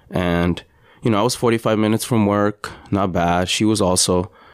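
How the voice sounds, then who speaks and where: A man with a plain, everyday voice talks at a moderate pace, his pitch fairly low and his intonation fairly even. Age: 30s. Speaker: podcast host. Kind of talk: personal monologue. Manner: conversational, with fillers.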